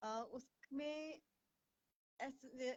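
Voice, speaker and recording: The voice has ordinary pitch variation in a dry, close sound with no echo. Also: woman. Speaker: English confidence coach. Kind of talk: live stream talk in Hinglish. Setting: Facebook live stream. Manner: hesitant, frequent fillers.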